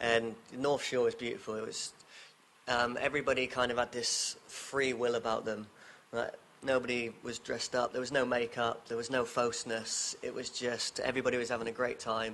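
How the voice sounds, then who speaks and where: A man with an English accent, medium pitch and monotone, flat intonation at a fairly quick pace, amid noticeable background noise. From England, Devon (southwest). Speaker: fire dancer and entertainer. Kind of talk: casual interview chat.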